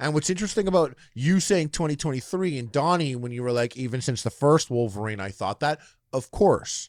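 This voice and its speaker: On a very clean recording with a silent background, a man talks at a fairly quick pace with a fairly high pitch and lively intonation. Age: 30s. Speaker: podcast host. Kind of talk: casual chat. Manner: animated.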